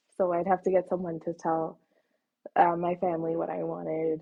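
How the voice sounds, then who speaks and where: At a moderate pace, the speaker has an unremarkable speaking voice with a Canadian accent. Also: woman. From Canada. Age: 20s. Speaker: actress and voice actor. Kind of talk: casual interview chat.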